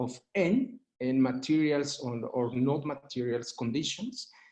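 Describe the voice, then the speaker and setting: This man speaks at a very slow pace. His pitch is fairly high, with ordinary variation. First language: Spanish. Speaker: urban law expert. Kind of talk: panel presentation. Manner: halting, many fillers.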